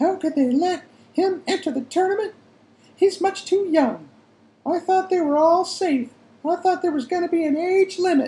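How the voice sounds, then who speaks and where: An extremely high-pitched, put-on character voice is heard. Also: moderate pace. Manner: anxious.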